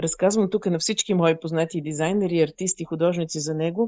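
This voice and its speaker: A woman's fairly low voice with a dark, mellow tone, dry and close with no echo, over a quiet background. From Bulgaria, Burgas region. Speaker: fashion designer. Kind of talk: interview. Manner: halting, many fillers.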